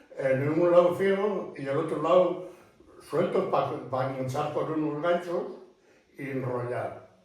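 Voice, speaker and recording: Over noticeable background noise and audible room echo, the speech runs at a fairly slow pace with long, frequent pauses and ordinary pitch variation. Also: man, fairly high pitch for a man. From northern Spain, Cantabria (Liébana). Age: 80s+. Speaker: retired blacksmith. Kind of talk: interview. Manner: halting.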